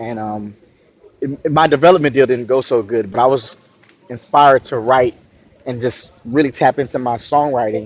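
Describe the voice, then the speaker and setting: At a medium pitch, a man speaks at a fairly quick pace. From Florida, US South. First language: French. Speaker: R&B singer-songwriter. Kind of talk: interview. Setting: live online interview.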